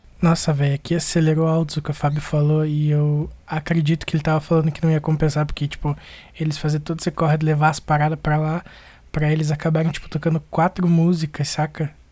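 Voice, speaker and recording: The speech runs at a very fast pace on a very clean recording with a silent background. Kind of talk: casual chat. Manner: informal, chatty.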